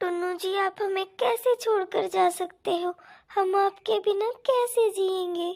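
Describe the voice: A woman's cartoonish character voice at an extremely high pitch, slightly mellow with vocal fry, ordinary pitch variation and a fairly slow pace.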